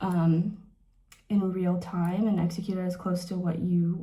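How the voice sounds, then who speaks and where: With a dark, mellow tone and a somewhat breathy quality, a woman speaks at a moderate pace amid audible room echo. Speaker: beauty vlogger. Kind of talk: casual chat. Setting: bathroom. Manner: halting.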